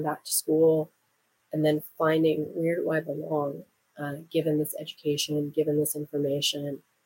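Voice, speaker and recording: The intonation is monotone and flat. The recording sounds dry and close, with no echo. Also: woman. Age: 40s. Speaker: podcast host and graduate student. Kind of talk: solo podcast monologue.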